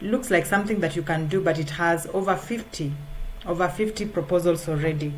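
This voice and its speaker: A woman's fairly low-pitched voice with ordinary pitch variation and audible room echo. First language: not English. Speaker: freelance writer. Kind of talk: tutorial. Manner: halting, many fillers.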